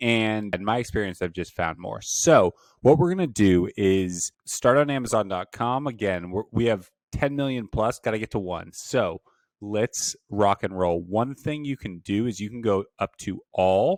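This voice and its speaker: At a moderate pace and fairly low pitch with ordinary variation, a man uses an ordinary speaking voice in a dry, close sound with no echo, on a very clean recording with a silent background. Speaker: online business instructor. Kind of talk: tutorial.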